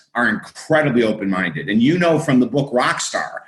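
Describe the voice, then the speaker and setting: Over noticeable background noise, a man talks in an animated tone with lively intonation. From US Northeast (Syracuse, New York). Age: 60s. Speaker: author and minister. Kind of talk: podcast interview.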